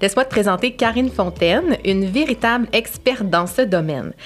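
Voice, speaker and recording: A woman speaks with a Quebec accent at a moderate pace. Her medium pitch shows ordinary variation. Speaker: podcast host, marketing strategist. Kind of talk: casual interview; scripted intro. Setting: studio.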